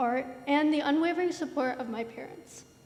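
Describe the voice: Speaking with a high pitch and a slightly mellow tone, a woman shows ordinary pitch variation.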